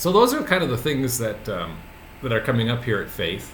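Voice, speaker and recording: A man is speaking. His voice carries an audible room echo. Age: 60s. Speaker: pastor. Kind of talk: casual video message. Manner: halting, many fillers.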